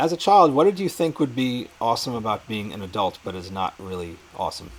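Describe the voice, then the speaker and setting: In a New York accent, the speaker goes at a moderate pace with very wide pitch swings. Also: man. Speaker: interviewer, show host. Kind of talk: casual interview chat. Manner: hesitant, repeats words.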